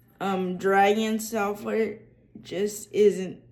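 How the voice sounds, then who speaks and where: In a Southern US accent, a woman with a dark, mellow tone talks at a very slow pace. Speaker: accessibility tech YouTuber. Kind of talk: casual tutorial vlog. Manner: many fillers and restarts.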